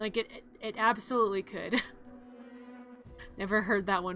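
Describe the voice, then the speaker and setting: A woman's fairly high voice with music in the background. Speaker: vtuber streamer. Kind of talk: casual live stream chat.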